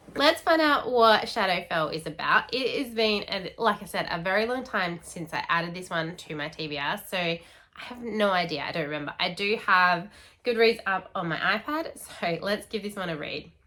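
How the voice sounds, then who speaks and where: The speaker has an Australian accent and a bright, sharp tone. Intonation is lively, and the pace is moderate. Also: woman, medium pitch for a woman. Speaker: book youtuber. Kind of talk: casual vlog chat.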